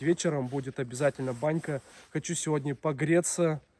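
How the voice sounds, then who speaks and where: A man speaks with a dark, mellow tone. His pitch is fairly high and his intonation fairly even. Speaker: video blogger, taiga cabin life. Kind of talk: casual vlog narration. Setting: taiga cabin in the forest.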